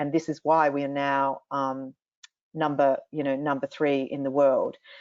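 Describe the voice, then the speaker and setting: Slow-paced and monotone, a woman with an Australian accent speaks at a very deep, low pitch with flat intonation. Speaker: industry association CEO. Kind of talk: panel interview.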